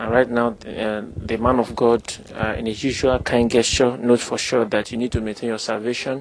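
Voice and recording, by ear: Delivered at a fairly quick pace, the voice shows little pitch movement. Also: man.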